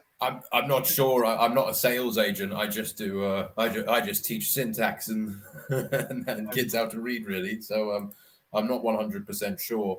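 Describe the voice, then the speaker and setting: A man with a southern English accent, medium-pitched, with lively intonation at a moderate pace. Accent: southern English received pronunciation. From Scotland, then London. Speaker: online English tutor. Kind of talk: casual chat.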